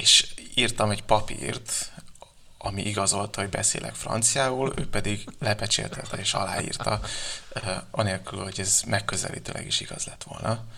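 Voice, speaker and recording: A man speaks at a moderate pace with a fairly low pitch and fairly even intonation. Noticeable background noise runs underneath. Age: 20s. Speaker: novelist. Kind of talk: interview. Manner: halting, many fillers.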